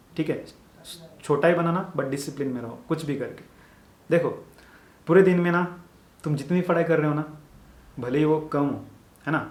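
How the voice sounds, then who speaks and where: A man with a Marathi accent speaks at a moderate pace in a fairly high, somewhat breathy voice, with audible room echo. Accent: Marathi-accented Hindi. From Maharashtra, India (village). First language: Marathi (speaking Hindi). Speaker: medical student YouTuber. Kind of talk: motivational advice talk. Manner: casual, repetitive conversational.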